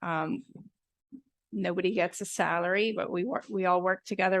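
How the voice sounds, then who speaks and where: Her intonation fairly even, a woman talks at a moderate pace and medium pitch. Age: 40s. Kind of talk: testimony. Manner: hesitant, many fillers.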